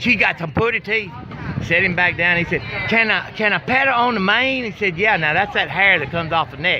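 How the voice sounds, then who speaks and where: A man with a Southern US accent uses a raised, projected voice at a high pitch. He talks fairly quickly over noticeable background noise. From Arkansas. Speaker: barbecue pitmaster. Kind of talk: casual chat.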